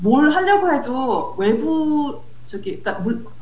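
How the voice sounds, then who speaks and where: A woman's pitch swings very widely. Noticeable background noise is present. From South Africa. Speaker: software developer. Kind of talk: casual interview.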